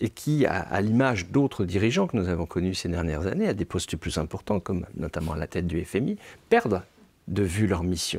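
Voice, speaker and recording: A man speaks with a very deep, low pitch. His pace is fairly quick. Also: ordinary pitch variation, very clean recording, silent background. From France. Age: 60s. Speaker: novelist. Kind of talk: interview. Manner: hesitant, many fillers.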